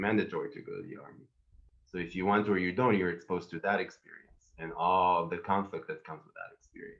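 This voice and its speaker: A man with an Israeli accent speaks very fast, his loudness swinging widely. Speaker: panelist, therapist. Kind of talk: panel discussion.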